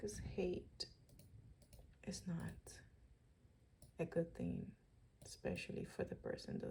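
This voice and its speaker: A woman with a Dominican accent at a very slow pace, full of long, frequent pauses. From Dominican Republic. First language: Spanish. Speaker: vlogger. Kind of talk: personal video diary. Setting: at home. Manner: unscripted, hesitant.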